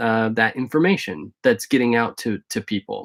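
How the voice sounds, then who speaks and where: A man at medium pitch and a moderate pace, dry and close with no echo, in a very clean recording with a silent background. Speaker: vlogger living in a converted school bus. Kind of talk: live stream Q&A. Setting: live video stream. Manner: hesitant, many fillers.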